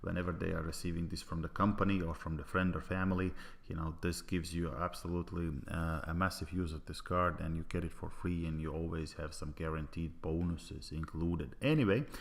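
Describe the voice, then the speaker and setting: A man with a Latvian accent speaks at a very deep, low pitch. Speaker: network marketer. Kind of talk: sales pitch. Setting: online presentation. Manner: halting, many fillers.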